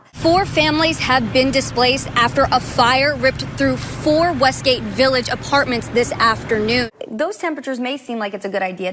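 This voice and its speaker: Over noticeable background noise, a woman speaks at a high pitch and a fairly quick pace with lively intonation. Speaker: TV news anchor and reporter. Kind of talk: TV news anchoring and reporting.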